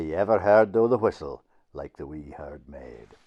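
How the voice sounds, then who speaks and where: This man talks at a fairly slow pace with a northeast Scottish accent. His intonation is lively. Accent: Doric Scots. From Northeast Scotland. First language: Doric Scots. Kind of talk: poetry reading in dialect.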